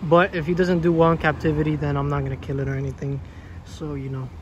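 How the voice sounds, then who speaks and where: The speech goes at a very fast pace, with a dry sound with no echo and light background noise. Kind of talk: casual vlog chat. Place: street. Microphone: phone near.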